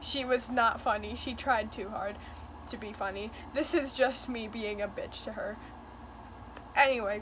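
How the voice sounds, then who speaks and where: Against audible room echo, a woman with a fairly high pitch and fairly even intonation talks at a moderate pace, leaving long, frequent pauses. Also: big swings in loudness. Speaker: YouTuber. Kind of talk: casual commentary video. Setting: filming on bedroom floor at home. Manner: quiet, holding voice down.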